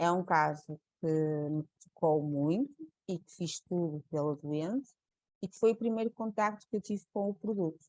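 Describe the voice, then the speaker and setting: This woman's voice is dark and mellow, pitched fairly low. She speaks at a fairly slow pace with lively intonation. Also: big swings in loudness, dry, close sound with no echo. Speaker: nurse. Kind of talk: webinar presentation. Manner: halting, many fillers and repeats.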